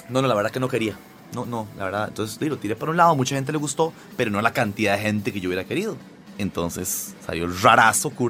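A man of medium pitch, very fast and animated in tone, with lively intonation, against noticeable background noise. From Costa Rica (born in Lima, Peru, moved at 7). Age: 40s. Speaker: singer and comedian. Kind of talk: casual interview talk.

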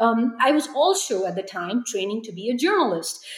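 Noticeable background noise sits behind a woman talking. Her pitch is fairly high and her pace moderate. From India (New Delhi). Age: 30s. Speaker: reuse entrepreneur and designer. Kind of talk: interview.

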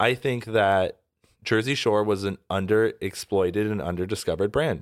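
Recorded very cleanly against a silent background, a man with an unremarkable speaking voice talks at a moderate pace, fairly low in pitch with ordinary pitch variation. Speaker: producer and guest host. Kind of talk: casual chat. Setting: studio.

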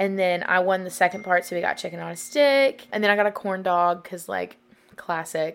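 With music in the background, a woman talks at medium pitch with ordinary pitch variation. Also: moderate pace. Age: 20s. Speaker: podcast host. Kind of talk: casual chat. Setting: home studio. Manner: animated.

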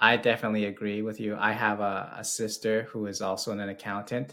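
With a bright, sharp tone and fairly low pitch, a man talks at a moderate pace in a monotone, flat intonation on a very clean recording with a silent background. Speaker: tax and estate planning specialist. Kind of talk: professional discussion.

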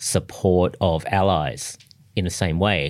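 Very deep and low, a man's voice carries an Australian accent with ordinary pitch variation. The recording is very clean, the background silent. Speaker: foreign policy scholar. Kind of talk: interview.

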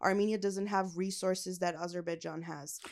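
In a Californian accent, a woman talks at a medium pitch with fairly even intonation. The recording is very clean and the background silent. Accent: Californian American. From Los Angeles, US. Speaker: comedian. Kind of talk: casual interview. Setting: studio.

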